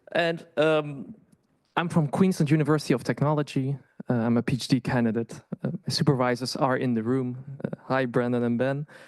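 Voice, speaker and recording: A man with a Dutch accent, medium pitch, ordinary pitch variation and a fairly quick pace. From Netherlands. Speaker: PhD candidate. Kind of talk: conference presentation. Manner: halting, many fillers and restarts.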